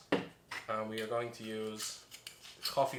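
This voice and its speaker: A man with an Irish accent speaks very slowly at a medium pitch, his intonation monotone and flat. Noticeable background noise is present. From Ireland. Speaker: bartender. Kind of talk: tutorial with comic storytelling.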